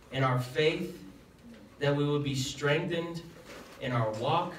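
Against light background noise and audible room echo, a man speaks at a fairly slow pace with fairly even intonation. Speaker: pastor. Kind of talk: scripture reading and prayer. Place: church.

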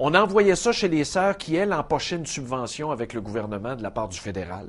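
Very wide pitch swings mark this man's speech. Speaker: TV show host. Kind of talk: commentary. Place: studio. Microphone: lapel.

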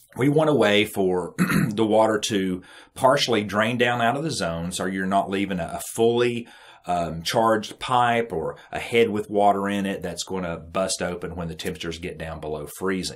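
A man speaks in a plain, everyday voice at a moderate pace. His pitch is fairly low with ordinary variation. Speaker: irrigation trainer. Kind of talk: tutorial.

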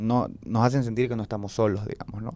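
A man speaks in a dark, mellow tone. The sound is dry, with no echo. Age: 20s. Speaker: youth activist; podcast guest. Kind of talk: personal testimony in panel chat. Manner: hesitant, many fillers. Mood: earnest, reflective. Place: studio. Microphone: handheld.

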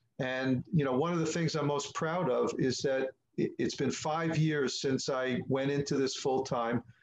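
Talking at a fairly slow pace, a man keeps a very even loudness and fairly even intonation. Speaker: musician. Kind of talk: interview answer. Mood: proud, upbeat. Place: home room. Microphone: webcam.

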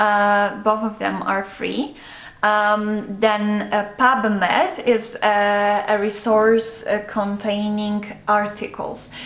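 A woman speaks at a very slow pace in a monotone, flat intonation, with audible room echo. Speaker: medical student. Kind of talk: casual chat. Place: home room.

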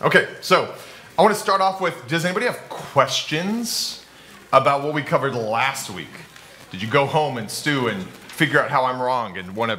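A man talks with lively intonation while light background noise sits underneath. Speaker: pastor teaching a class. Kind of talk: lecture. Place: hall.

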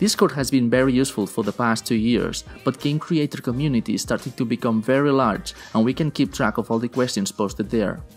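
Fairly quick pace, very even loudness and ordinary pitch variation, with music in the background. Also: man. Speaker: tutorial narrator. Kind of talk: tutorial.

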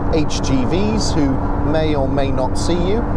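A man's voice sounds dry with no echo against loud background noise. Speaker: car reviewer. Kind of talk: car review commentary. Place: car. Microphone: lapel.

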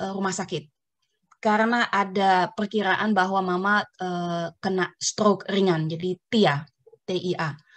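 A woman's voice against a quiet background. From Netherlands, born to Indonesian parents. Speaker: family caregiver. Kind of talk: personal testimony. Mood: calm, reflective. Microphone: earbuds.

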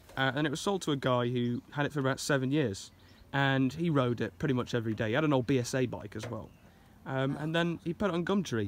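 The speech comes at a very fast pace in a dry sound with no echo. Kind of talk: casual vlog chat. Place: waterside. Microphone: phone near.

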